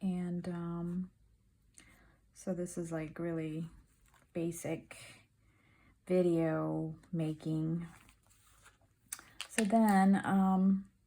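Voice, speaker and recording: A soft-spoken woman talks at a very slow pace and a medium pitch. Her tone is dark and mellow. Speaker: crafter video creator. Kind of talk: casual craft update chat. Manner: soft-spoken, trying to speak up; hesitant, many fillers.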